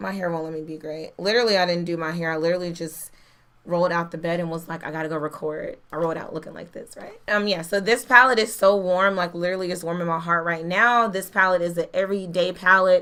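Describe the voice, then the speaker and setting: At a very fast pace, a woman with fairly low pitch speaks in a bright, sharp, animated tone, her loudness swinging widely. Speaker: beauty youtuber. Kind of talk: product review.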